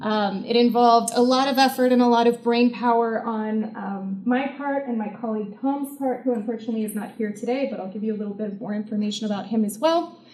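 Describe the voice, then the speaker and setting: Over noticeable background noise, a woman talks at a very fast pace in a fairly high voice with fairly even intonation. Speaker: researcher on violent extremism. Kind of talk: conference presentation. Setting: symposium audience in a university. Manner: soft-spoken; frequent filler words.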